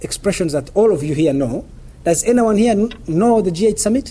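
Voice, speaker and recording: With a dark, mellow tone, a man speaks in lively intonation. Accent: non-native. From Uganda. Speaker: journalist and lecturer. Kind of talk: lecture. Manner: fast.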